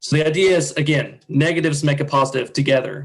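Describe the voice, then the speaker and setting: A man talks at a fairly quick pace in a somewhat breathy voice. His intonation is monotone and flat. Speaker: nonprofit presenter. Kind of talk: presentation. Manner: fast.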